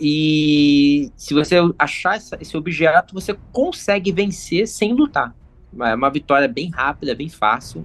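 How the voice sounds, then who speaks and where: Over music in the background, a man with a fairly high pitch speaks at a fairly slow pace with lively intonation. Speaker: YouTuber, gamebook expert. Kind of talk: casual chat.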